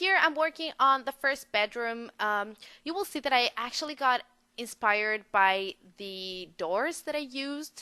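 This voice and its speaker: Speaking fairly slowly with a non-native accent, a woman uses a high pitch, lively intonation and a bright, sharp tone. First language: not English. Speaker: gaming video creator. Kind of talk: voice-over commentary on a speed build. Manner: hesitant, many fillers.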